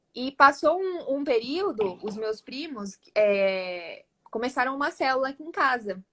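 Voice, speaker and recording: With a São Paulo interior accent, a woman speaks at a high pitch, her voice swinging very widely up and down. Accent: paulista do interior (caipira r). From São Paulo interior, Campinas. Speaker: church cell leader sharing testimony. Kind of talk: testimony. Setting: livestream video call.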